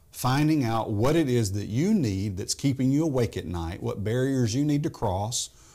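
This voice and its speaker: On a very clean recording with a silent background, a man with a Tennessee accent talks at a moderate pace with lively intonation. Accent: Southern US (Tennessee). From US South, Memphis, Tennessee. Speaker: business coach. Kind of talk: interview.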